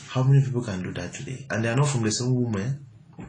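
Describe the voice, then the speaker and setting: There is audible room echo as a man talks at a fairly quick pace. His intonation is fairly even. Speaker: motivational speaker. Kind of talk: motivational talk.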